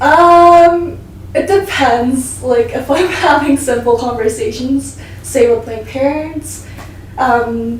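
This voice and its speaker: A woman with a Korean accent speaks very slowly at a high pitch, using ordinary pitch variation. Her voice carries audible room echo, with noticeable background noise behind it. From South Korea. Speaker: interpreter. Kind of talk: interview.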